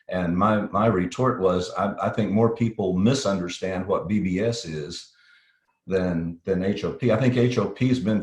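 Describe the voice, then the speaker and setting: A man's very deep, low voice, somewhat breathy, with a slight Texas accent and ordinary pitch variation. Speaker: safety consultant, company CEO. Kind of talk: interview. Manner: practiced, professional broadcast delivery; hesitant, repeats words.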